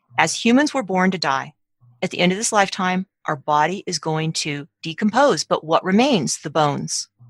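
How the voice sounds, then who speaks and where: A woman with an unremarkable speaking voice at a medium pitch, her intonation lively and her pace moderate, in a dry, close sound with no echo. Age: 50s. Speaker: author. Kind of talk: interview.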